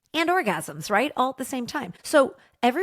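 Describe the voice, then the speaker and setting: A woman talks at a moderate pace in an animated tone, on a very clean recording with a silent background. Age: 40s. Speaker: TV and podcast creator. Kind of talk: casual interview chat.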